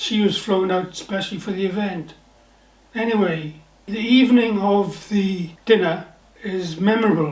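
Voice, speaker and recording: Over noticeable background noise and audible room echo, a man with a Welsh accent talks at a moderate pace in a high pitch with fairly even intonation. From Wales, the Valleys near Pontypridd. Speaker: novelist, former naval officer. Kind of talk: personal storytelling monologue.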